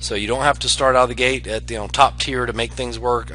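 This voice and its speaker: Very fast speech from a man over music in the background. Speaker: online marketing affiliate. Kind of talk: screen-share tutorial. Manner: hesitant, many fillers.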